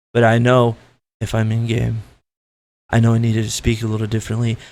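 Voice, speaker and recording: His intonation stays monotone and flat. The man's voice sits at a medium pitch. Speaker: gaming commentator. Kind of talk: rant. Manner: softer, quieter at times; loud and aggressive.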